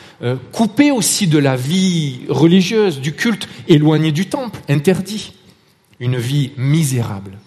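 Over noticeable background noise, a man with a Marseille accent speaks very slowly at a fairly high pitch with lively intonation. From Marseille, southern France. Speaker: lay preacher. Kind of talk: sermon. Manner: hesitant, with repeated words and fillers.

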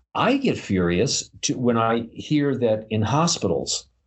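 Somewhat breathy, a man at medium pitch speaks with lively intonation. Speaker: podcast co-host. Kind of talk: casual chat. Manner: animated.

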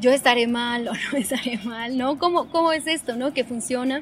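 There is noticeable background noise as a woman speaks at a moderate pace. Her high voice holds a fairly even intonation. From Mexico, Toluca (State of Mexico). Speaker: visual artist. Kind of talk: interview. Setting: cultural center. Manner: hesitant, many fillers.

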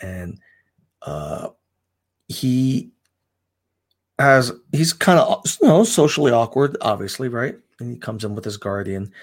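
Over a silent background in a very clean recording, a man with a medium pitch speaks at a fairly slow pace, with long, frequent pauses, very wide pitch swings and big swings in loudness. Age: 50s. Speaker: comic shop owner, Coast Guard veteran. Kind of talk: casual chat. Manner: halting.

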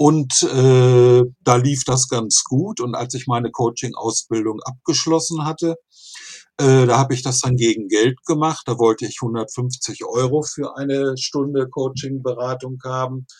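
A man speaks at a fairly slow pace in a somewhat breathy voice, on a very clean recording with a silent background. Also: medium pitch for a man, fairly even intonation. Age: 60s. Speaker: finance blogger and coach. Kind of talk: podcast interview.

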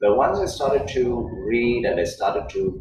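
There is audible room echo around the voice. A man speaks at a fairly slow pace. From South India. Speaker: yoga teacher. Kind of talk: interview.

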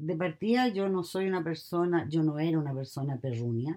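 In a Chilean accent, a woman speaks at a fairly slow pace with lively intonation. Her pitch is very deep and low, her tone dark and mellow. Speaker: mother interviewed by her daughter. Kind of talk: casual chat.

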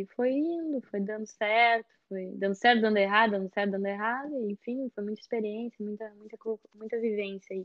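A woman with a fairly high-pitched voice talks at a moderate pace. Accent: Gaúcho Brazilian. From southern Brazil, Porto Alegre. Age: young. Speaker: chef. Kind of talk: casual interview.

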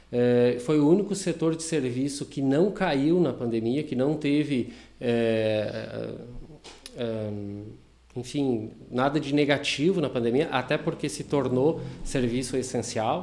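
Very slow speech comes in a dark, mellow tone. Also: man, medium pitch for a man, ordinary pitch variation. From southern Brazil, Rio Grande do Sul (Taquari). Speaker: franchise owner of a vocational school. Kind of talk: casual interview chat. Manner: hesitant, many fillers.

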